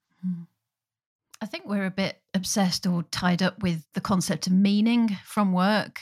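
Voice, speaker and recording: On a very clean recording with a silent background and a dry, close sound with no echo, a woman speaks at a medium pitch in a somewhat breathy voice with fairly even intonation. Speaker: podcast co-host, futurist and author. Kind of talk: interview conversation.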